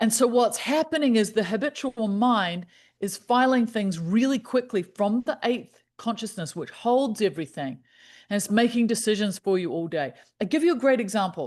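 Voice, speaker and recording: Over a quiet background, a woman with a New Zealand accent speaks at a moderate pace, her fairly high pitch carried by lively intonation. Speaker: happiness specialist. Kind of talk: podcast interview.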